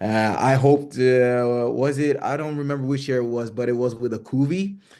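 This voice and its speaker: Noticeable background noise sits under a man talking at a medium pitch, his intonation fairly even. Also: moderate pace. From Kenya. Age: 30s. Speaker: singer in a song contest selection. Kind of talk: interview. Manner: hesitant, many fillers.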